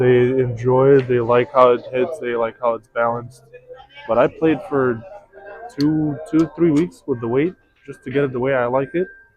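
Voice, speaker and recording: With music in the background, a man speaks at a moderate pace and medium pitch, keeping his intonation fairly even. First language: not English. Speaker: pool stream commentator. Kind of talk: casual chat. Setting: pool hall.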